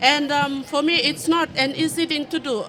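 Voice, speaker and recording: Noticeable background noise behind a woman's high pitch and moderate pace. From Fiji. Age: 30s. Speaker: audience member living with HIV. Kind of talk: testimony. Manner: halting, many fillers.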